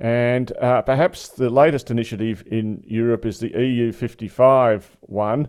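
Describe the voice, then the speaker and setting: Speaking very slowly with hardly any pauses, a man with an Australian accent holds a medium pitch and fairly even intonation. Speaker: podcast host. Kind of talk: interview discussion. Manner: hesitant, filler-heavy.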